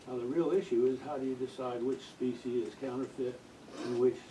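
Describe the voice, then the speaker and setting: A man with a medium pitch and ordinary pitch variation talks against noticeable background noise. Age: 80s+. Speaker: audience member asking a question. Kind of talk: audience question at book talk. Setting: bookstore event with audience. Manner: halting.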